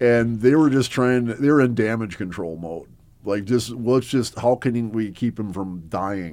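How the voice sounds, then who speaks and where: Speaking at a moderate pace with an American accent, a man uses a medium pitch and ordinary pitch variation. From US Midwest, Milwaukee area, Wisconsin. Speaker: former extremist turned author and speaker. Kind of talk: interview conversation.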